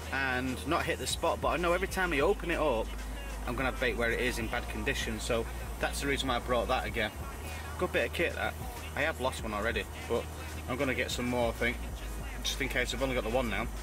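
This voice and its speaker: A man speaks very fast while clear music plays in the background. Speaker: angler vlogger. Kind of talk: casual vlog chat. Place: tent.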